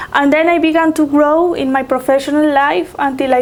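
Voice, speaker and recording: The speech moves at a moderate pace with fairly even intonation, over noticeable background noise. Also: woman. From Colombia. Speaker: HR professional. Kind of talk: interview.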